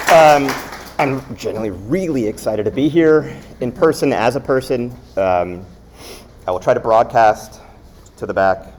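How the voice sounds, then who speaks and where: A man at medium pitch with lively intonation, a moderate pace, long and frequent pauses, and noticeable background noise. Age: 40s. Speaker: designer / creative director. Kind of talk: lecture. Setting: classroom talk with live audience, no mic. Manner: hesitant, many fillers. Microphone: recorded through laptop, no mic.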